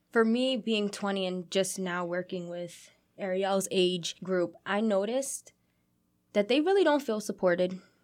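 A woman with an American accent and an unremarkable speaking voice, a fairly slow pace, ordinary pitch variation and a very clean recording with a silent background. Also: medium pitch for a woman. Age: 20s. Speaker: youth program director. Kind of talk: interview. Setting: studio.

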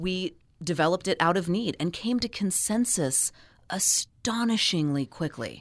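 An unremarkable speaking voice from a woman with an American accent, medium in pitch, at a moderate pace with lively intonation. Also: very clean recording, silent background. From California. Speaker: folklore professor. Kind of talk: radio interview. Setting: studio.

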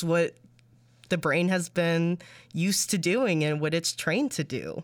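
Over a silent background in a very clean recording, a woman speaks at a moderate pace with a fairly low pitch. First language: Spanish. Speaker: radio reporter. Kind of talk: interview.

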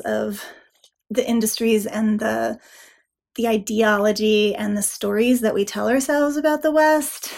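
In an American accent, a woman with an ordinary speaking voice talks at a moderate pace and a fairly high pitch. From Nevada. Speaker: author. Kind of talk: interview. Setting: video call.

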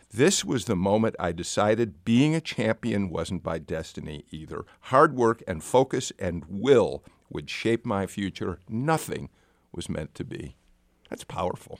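A man with an unremarkable speaking voice and fairly low pitch shows big swings in loudness, in a very clean recording with a silent background and a dry, close sound with no echo. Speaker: radio host. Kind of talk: radio interview. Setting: studio. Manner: warm, laughing.

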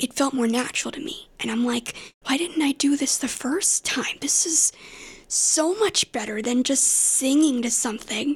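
In an American accent, a woman speaks at a moderate pace in a breathy, high-pitched voice with ordinary pitch variation. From US South, Asheville, North Carolina. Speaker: singer. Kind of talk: interview.

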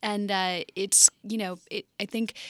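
A woman's unremarkable speaking voice at a medium pitch, fairly even in intonation, on a very clean recording with a silent background and a dry, close sound with no echo. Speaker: climate and environment reporter. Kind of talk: radio panel discussion. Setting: studio.

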